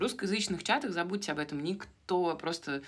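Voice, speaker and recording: This is a woman with an ordinary speaking voice and ordinary pitch variation. The recording is very clean, with a silent background. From Moscow, Russia. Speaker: podcast co-host. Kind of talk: casual chat.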